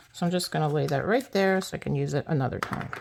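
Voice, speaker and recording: Noticeable background noise sits behind a woman whose very deep, low pitch carries lively intonation. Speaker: card-making crafter. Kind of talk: tutorial. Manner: casual, chatty.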